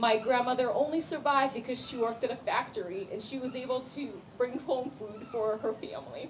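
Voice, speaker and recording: A woman's high-pitched voice at a fairly quick pace with hardly any pauses, loudness swinging widely over noticeable background noise. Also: ordinary pitch variation. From Ukraine, Kyiv. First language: Russian. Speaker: community representative. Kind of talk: speech. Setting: community prayer event with audience.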